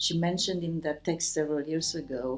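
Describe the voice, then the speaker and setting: This woman speaks with a Romanian accent. Her pitch is fairly low. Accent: Romanian accent, self-described as bad. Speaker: writer. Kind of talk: interview. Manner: halting, many fillers.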